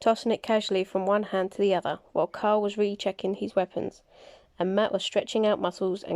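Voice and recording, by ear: Someone reads a text out loud. The voice used is natural.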